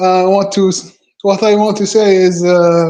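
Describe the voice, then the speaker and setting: In a non-native accent, a man speaks with flat, monotone intonation and a dark, mellow tone at a high pitch. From Algeria. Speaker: guest in online chat. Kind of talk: casual chat. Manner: halting; many fillers, repeats words.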